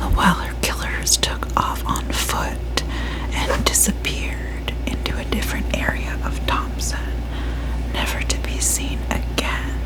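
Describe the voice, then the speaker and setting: A soft-spoken woman is whispering at a fairly slow pace. Noticeable background noise sits behind her. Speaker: ASMR creator. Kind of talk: whispered true crime ASMR narration. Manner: whispered, soft.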